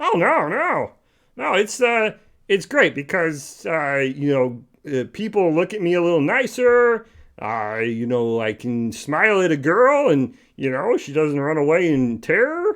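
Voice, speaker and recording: A cartoonish character voice from a man, fairly high in pitch at a fairly slow pace. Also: quiet background. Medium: puppet.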